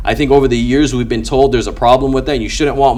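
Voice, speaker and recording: Through noticeable background noise, a man talks at a very fast pace in an animated tone. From immigrant, grew up outside English-speaking home. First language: not English. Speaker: business owner, sales closer. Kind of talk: casual interview chat. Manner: articulate.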